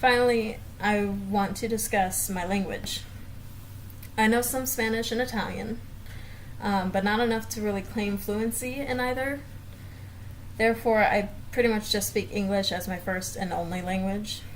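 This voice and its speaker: Amid audible room echo, a woman with an American accent speaks at medium pitch and a moderate pace, using fairly even intonation and long, frequent pauses. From US South, Florida south of Tampa. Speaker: speech pathology student. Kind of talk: class presentation video.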